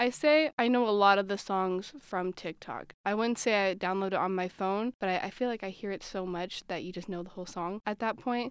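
An ordinary speaking voice from a woman at medium pitch, fairly quick, with ordinary pitch variation over a quiet background. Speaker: college student. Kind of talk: casual interview chat.

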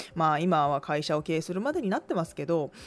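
A woman speaks at a fairly quick pace in a fairly low voice, with ordinary pitch variation. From Tokai region, Japan. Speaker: podcast host, business owner. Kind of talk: solo talk radio monologue.

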